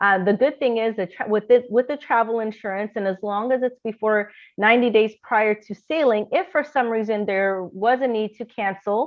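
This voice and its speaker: With hardly any pauses, a woman talks at a fairly high pitch with ordinary pitch variation. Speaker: travel agency owner hosting info meeting. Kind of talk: online information meeting presentation. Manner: fast.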